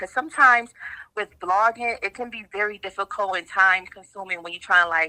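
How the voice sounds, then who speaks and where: A woman with a medium pitch, ordinary pitch variation and a bright, sharp tone is heard in a dry, close sound with no echo. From upstate New York, Rochester. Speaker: blogger and show host. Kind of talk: podcast interview. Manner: casual, lots of fillers.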